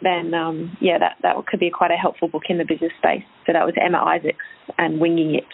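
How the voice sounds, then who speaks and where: At a very fast pace, a woman speaks at a fairly low pitch with fairly even intonation and very even loudness. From UK. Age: 30s. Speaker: fitness business owner and personal trainer. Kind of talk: interview conversation.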